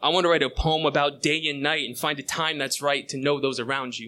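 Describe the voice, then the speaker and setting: Bright and sharp in tone, a man's fairly high voice moves at a fairly quick pace with fairly even intonation. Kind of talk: spoken word poetry, alliterative manifesto performed on stage. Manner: rhythmic, punchy, building energy.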